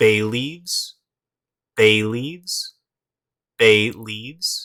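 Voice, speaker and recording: A man with an American accent, at a very slow pace. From United States. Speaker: English pronunciation teacher. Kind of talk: English vocabulary lesson, repeated word drills.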